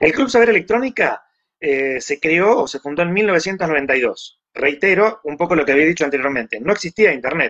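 A man's high-pitched voice with lively intonation. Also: moderate pace. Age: 60s. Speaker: electronics engineer and magazine editor. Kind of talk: interview.

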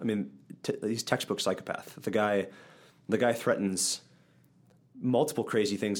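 Here a man with an Upper Midwest accent speaks at a fairly quick pace. His pitch is fairly low, and the recording is very clean with a silent background. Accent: Upper Midwest American. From central Wisconsin. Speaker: church podcast co-host. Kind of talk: casual Bible discussion.

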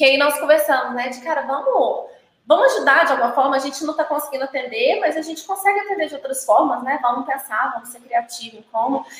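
Her high pitch showing ordinary pitch variation, a woman talks at a very fast pace with big swings in loudness. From Brazil, Minas Gerais. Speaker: brewer and brewery consultant. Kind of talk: casual chat.

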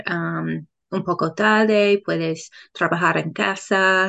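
A woman with an English accent, at a very slow pace. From England. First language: English (speaking Spanish). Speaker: Spanish learner and English teacher. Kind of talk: casual interview. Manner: halting, many fillers.

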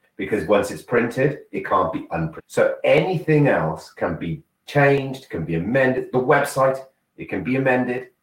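Animated in tone, a man speaks with vocal fry and very wide pitch swings. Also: medium pitch for a man, moderate pace. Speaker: motivational speaker. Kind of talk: casual chat.

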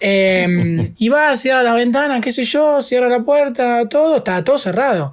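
With hardly any pauses and very even loudness, a man speaks at a fairly slow pace in an extremely high pitch with ordinary pitch variation. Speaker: podcast co-host. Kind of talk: casual chat.

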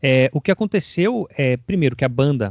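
At a moderate pace, a man with an unremarkable speaking voice and ordinary pitch variation is recorded with a dry, close sound and no echo. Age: 30s. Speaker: drummer. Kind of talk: casual interview.

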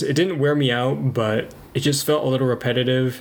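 Fairly even intonation from a man over noticeable background noise. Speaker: podcast co-host. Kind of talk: casual chat. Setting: home kitchen. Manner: fluctuating volume.

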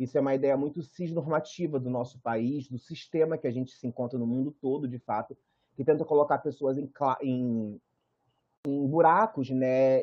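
A man speaks in a Carioca accent at a fairly high pitch. His intonation stays fairly even. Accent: carioca Brazilian Portuguese. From Rio de Janeiro, Praça Seca. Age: 30s. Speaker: fashion designer and visual artist. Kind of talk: guest lecture talk.

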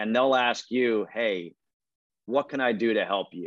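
Very slow speech in an American accent, with ordinary pitch variation and a quiet background. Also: man. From Connecticut, US. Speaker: play-by-play announcer. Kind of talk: interview.

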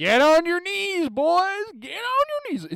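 An extremely high, shouting put-on character voice with very wide pitch swings over light background noise. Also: fairly slow pace. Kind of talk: commanding, gruff. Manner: barked, shouting orders.

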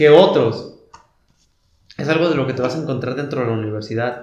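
Speaking with a Mexican accent, a man makes very wide pitch swings, with audible room echo around him. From rural Mexico. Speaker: university student. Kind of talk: casual chat. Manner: halting, with many repeated words.

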